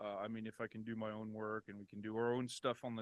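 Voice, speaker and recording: Monotone and flat in intonation, a man talks at a very fast pace. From France. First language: French. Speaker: comic book publisher and translator. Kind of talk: casual interview chat. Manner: halting, many fillers and restarts.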